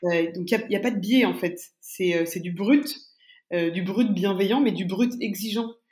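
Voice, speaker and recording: Audible room echo surrounds a woman's somewhat breathy voice, medium in pitch with ordinary variation, at a fairly slow pace. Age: young. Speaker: startup recruitment firm executive. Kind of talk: interview.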